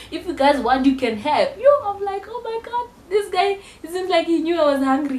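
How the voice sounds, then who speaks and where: Noticeable background noise surrounds a woman speaking. Her tone is animated, with very wide pitch swings. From South Africa. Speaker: YouTuber, university student. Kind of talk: casual vlog storytelling.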